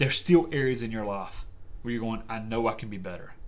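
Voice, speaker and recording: Audible room echo surrounds a man's voice. His pitch is medium, with ordinary variation. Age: 40s. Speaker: persuasion coach and podcast host. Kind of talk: solo motivational podcast monologue.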